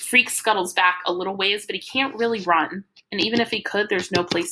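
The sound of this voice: An unforced reading voice, the background quiet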